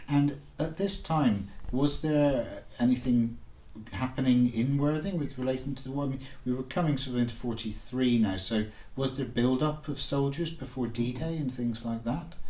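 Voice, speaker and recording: A man's somewhat breathy voice moves at a moderate pace, with ordinary pitch variation. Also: medium pitch for a man. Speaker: oral history interviewer. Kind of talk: interview questions.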